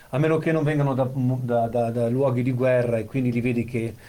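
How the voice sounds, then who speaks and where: A man speaks at a medium pitch and moderate pace in a dark, mellow tone, with audible room echo around him. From central Italy (Monte Castello area). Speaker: amputee with prosthesis, former disc jockey. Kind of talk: casual chat.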